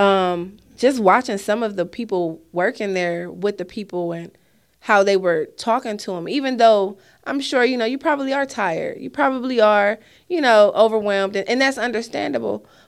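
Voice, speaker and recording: A normal speaking voice from a woman with an American accent, medium pitch, lively intonation and a moderate pace, in a very clean recording with a silent background. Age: 30s. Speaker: nonprofit founder. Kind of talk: casual chat.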